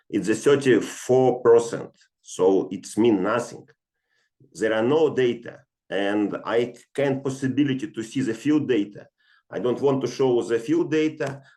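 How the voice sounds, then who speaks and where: Speaking at a fairly slow pace, a man has a dark, mellow tone and ordinary pitch variation. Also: medium pitch for a man. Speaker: geophysicist presenter. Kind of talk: webinar lecture. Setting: online webinar. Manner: hesitant, many fillers.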